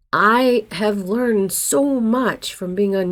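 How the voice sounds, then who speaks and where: In a very clean recording with a silent background, a woman talks with ordinary pitch variation. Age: 60s. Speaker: actor and acting coach vlogger. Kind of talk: casual vlog talk to camera. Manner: conversational, candid.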